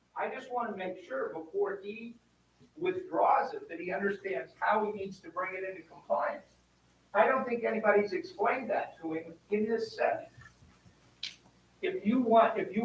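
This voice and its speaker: A man speaks at a moderate pace. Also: big swings in loudness. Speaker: zoning board member. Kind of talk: public meeting discussion. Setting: town board meeting. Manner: loud.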